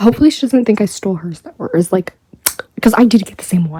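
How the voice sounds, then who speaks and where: A woman whispers quietly at a very fast pace, with a dry, close sound and no echo. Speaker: YouTuber. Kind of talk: unboxing haul vlog. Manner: whispering, quiet; animated.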